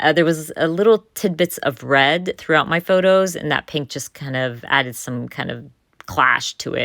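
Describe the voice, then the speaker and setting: An ordinary speaking voice, from a woman with a fairly low pitch. She moves at a moderate pace with lively intonation. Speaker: scrapbooking YouTuber. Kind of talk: voiceover tutorial.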